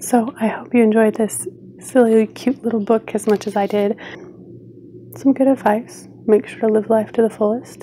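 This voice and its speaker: A woman's fairly slow, flat, monotone delivery over light background noise. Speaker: video creator. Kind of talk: casual vlog chat. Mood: warm, friendly. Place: home room. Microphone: phone near.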